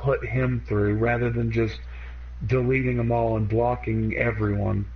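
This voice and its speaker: A voice with a Southern US accent in audible room echo. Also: man. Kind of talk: casual chat.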